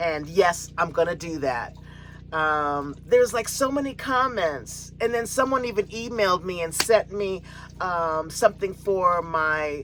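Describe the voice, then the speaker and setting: A woman with an American accent, fairly low in pitch, lively intonation and a fairly slow pace, against noticeable background noise. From San Francisco, California. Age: 60s. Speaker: RV living vlogger. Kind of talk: casual vlog monologue. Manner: halting, many fillers and repeats.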